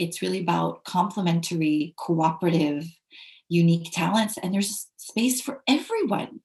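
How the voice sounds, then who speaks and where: A woman speaks with an American accent at a moderate pace. Her voice is fairly low in pitch and somewhat breathy. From United States. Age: young. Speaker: english teacher and ethical leadership consultant. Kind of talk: interview. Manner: halting.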